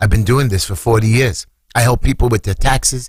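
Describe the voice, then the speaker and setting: In a New York accent, a man speaks at a medium pitch with a somewhat breathy quality. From New York, Brooklyn. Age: 60s. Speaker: city council candidate. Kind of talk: radio interview. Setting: studio. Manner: animated.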